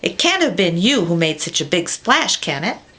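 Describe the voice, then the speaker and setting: This woman uses a put-on character voice with a fairly low pitch. She speaks at a moderate pace. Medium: read story.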